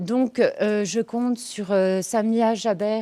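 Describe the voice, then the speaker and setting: A woman speaks with a dark, mellow tone. Her pitch is fairly high. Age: 40s. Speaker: social worker. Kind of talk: campaign testimonial. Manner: hesitant, many fillers.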